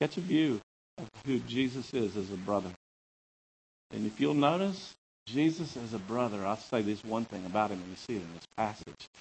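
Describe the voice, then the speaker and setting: A man with a normal speaking voice talks at a moderate pace and fairly low pitch, with lively intonation and big swings in loudness. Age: 50s. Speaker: preacher. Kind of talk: sermon.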